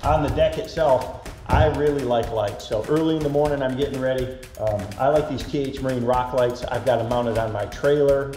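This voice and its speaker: A man talks at a fairly quick pace with fairly even intonation. The room echoes audibly, and faint music plays in the background. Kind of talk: product tour walkthrough. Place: garage.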